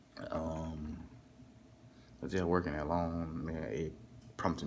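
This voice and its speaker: A man with a Southern US accent is heard with audible room echo. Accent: Southern twang. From Texas, US South. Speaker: overnight hotel worker and vlogger. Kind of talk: casual vlog monologue. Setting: hotel front desk at night, alone. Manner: casual, filler-heavy, repetitive.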